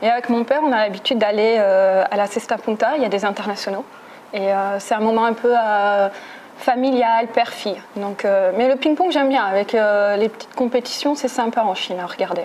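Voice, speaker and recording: A woman's fairly high-pitched voice at a moderate pace, with ordinary pitch variation, over noticeable background noise. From French Basque Country. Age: 30s. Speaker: French teacher. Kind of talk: interview. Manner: hesitant, many fillers.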